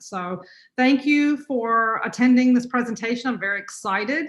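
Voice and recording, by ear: A woman with a North Carolina accent, fairly high in pitch with ordinary pitch variation, at a fairly slow pace, with audible room echo. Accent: North Carolina, US Southern.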